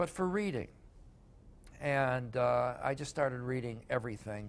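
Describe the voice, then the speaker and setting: An American accent at a moderate pace with ordinary pitch variation. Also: man, medium pitch for a man. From Chicago, US Midwest. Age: 60s. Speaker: sports journalist and author. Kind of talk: interview. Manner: halting, many fillers.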